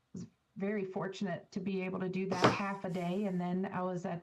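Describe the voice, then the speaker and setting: A woman with a Virginia accent, medium-pitched, monotone and flat, at a fairly quick pace. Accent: Virginian. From rural Virginia. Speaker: scientist with a chemistry PhD. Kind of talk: interview.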